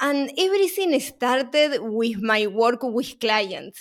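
A high-pitched woman's voice in a Uruguayan accent, in a very clean recording with a silent background. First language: Spanish. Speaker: supply chain consultant and author. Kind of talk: interview.

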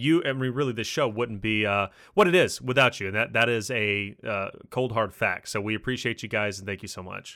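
In a very clean recording with a silent background, a man with a Kentucky accent speaks fairly quickly in a bright, sharp tone, his loudness swinging widely. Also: medium pitch for a man, ordinary pitch variation. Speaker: podcast host. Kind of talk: casual chat.

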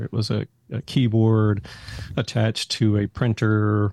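Dark and mellow in tone, a man's fairly low voice comes across with a dry, close sound and no echo. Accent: American. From Texas, Haltom City near Fort Worth. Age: 60s. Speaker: school technology director, former accountant. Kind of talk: casual interview.

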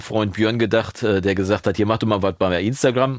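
The recording is very clean with a silent background as a man talks very quickly. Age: 50s. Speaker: podcast host and recording educator. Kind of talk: casual chat. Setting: studio.

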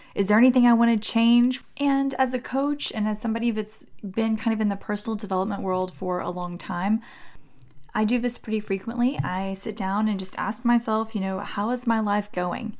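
A woman talks at a moderate pace with a fairly high pitch and ordinary pitch variation. She has an unremarkable speaking voice. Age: 40s. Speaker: podcast host and mindset coach. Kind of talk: solo podcast monologue. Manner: warm, friendly.

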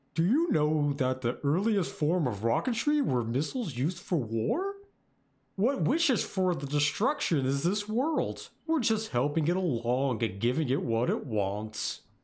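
A man adopts a put-on character voice pitched fairly high, delivering it at a moderate pace. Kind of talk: performed character voice. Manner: dramatic.

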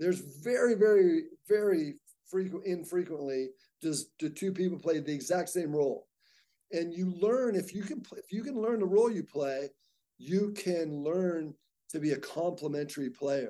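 A man with an American accent speaks at a moderate pace, high in pitch yet dark and mellow in tone, with ordinary pitch variation. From Southern California. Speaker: athletic director. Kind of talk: interview.

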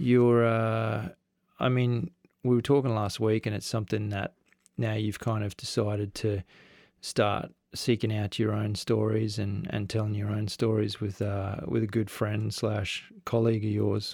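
A man with a fairly low pitch speaks at a fairly slow pace in an Australian accent, his intonation monotone and flat, on a very clean recording with a silent background. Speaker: podcast host. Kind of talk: podcast intro monologue; casual interview.

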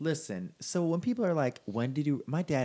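In an American accent, a man's voice carries a dark, mellow tone. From Port Huron, Michigan. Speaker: podcast co-host. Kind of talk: casual chat.

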